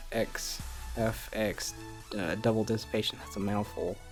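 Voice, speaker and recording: Over music in the background, a man talks at a fairly low pitch with ordinary pitch variation. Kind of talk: casual gaming commentary. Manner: casual, hesitant.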